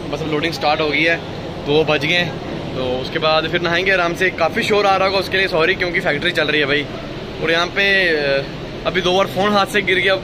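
Noticeable background noise sits under a man's voice. He has a high pitch and a fairly quick pace. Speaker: truck driver vlogger. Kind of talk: casual vlog chat. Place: factory. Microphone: phone near.

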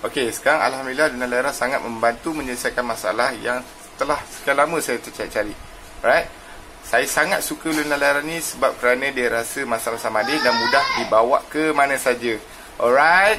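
Over light background noise, a man with a fairly high voice talks at a fairly quick pace with ordinary pitch variation. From Malaysia, Selangor. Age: 30s. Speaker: customer giving product testimonial. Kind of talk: testimonial. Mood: pleased, friendly. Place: home room. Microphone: phone near.

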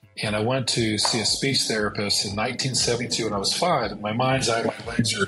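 Over clear background music, a man speaks fairly quickly at a medium pitch with fairly even intonation. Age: 50s. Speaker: entrepreneur and pilot. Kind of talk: interview answer. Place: office. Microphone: earbuds.

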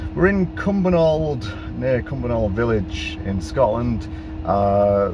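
A man's voice with noticeable background noise. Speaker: EV road trip vlogger. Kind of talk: casual vlog chat. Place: car.

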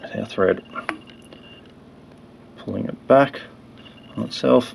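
Speech comes at a very slow pace. Light background noise sits underneath. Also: man. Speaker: fly tyer. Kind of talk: fly tying tutorial narration. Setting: poor audio quality.

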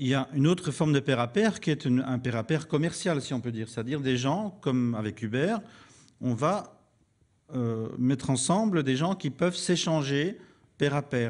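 A man speaks at a fairly quick pace in a fairly high pitch. His intonation is lively, and the background is quiet. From Belgium. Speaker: commons theorist, foundation founder. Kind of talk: panel debate.

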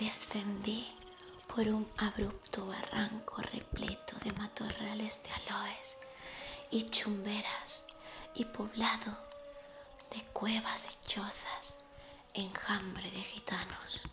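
Music plays in the background as a woman speaks at a very slow pace, leaving long, frequent pauses, with ordinary pitch variation. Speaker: reader of a travel narrative. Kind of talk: literary reading aloud.

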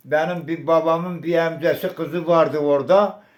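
The delivery is monotone, with flat intonation. It moves at a fairly slow pace. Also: man. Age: 80s+. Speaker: massacre survivor, elder. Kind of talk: oral history interview answer.

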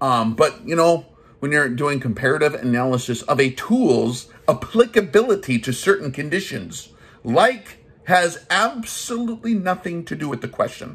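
A man's animated voice at a moderate pace, with very wide pitch swings. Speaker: gun channel host, army veteran. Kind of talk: comedic rant review. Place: home room. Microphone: phone near.

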